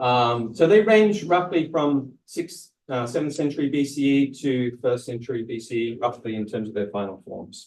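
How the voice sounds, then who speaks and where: The speaker talks with an Australian accent at a moderate pace. The intonation is lively, with hardly any pauses. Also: man, medium pitch for a man. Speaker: academic presenter. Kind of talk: lecture. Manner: hesitant, many fillers.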